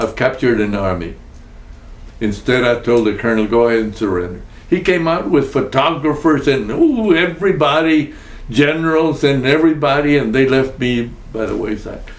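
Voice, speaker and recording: With a Spanish accent, a man of medium pitch talks at a moderate pace with lively intonation, amid noticeable background noise and audible room echo. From Texas. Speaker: war veteran. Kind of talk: oral history interview. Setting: at his home.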